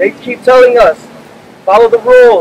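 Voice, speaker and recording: A man with an American accent and an extremely high pitch, at a moderate pace with fairly even intonation, over light background noise. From US Midwest. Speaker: business applicant. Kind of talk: rally speech. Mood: frustrated, pleading. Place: street. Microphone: podium.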